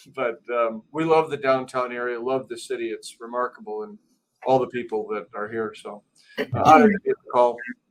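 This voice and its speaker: In a dry, close sound with no echo, a man with an Upper Midwest accent talks at a fairly quick pace in a medium pitch, with ordinary pitch variation and big swings in loudness. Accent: Upper Midwest, noticeable. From Milwaukee. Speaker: business executive. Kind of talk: panel discussion.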